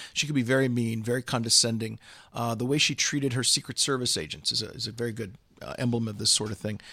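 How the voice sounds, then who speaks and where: Speaking at a very fast pace, a man with an American accent has a medium-pitched, bright, sharp voice and fairly even intonation. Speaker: political commentator. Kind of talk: political discussion interview. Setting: studio office in London. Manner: hesitant fillers.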